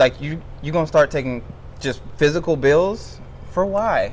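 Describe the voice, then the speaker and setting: Over noticeable background noise, a man with a fairly high pitch speaks in an animated tone. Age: 20s. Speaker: podcast host. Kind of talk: casual chat.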